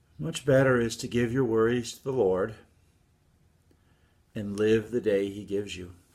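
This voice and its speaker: A man at medium pitch and a moderate pace, with ordinary pitch variation, big swings in loudness and long, frequent pauses. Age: 50s. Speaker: pastor. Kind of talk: devotional talk. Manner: reflective.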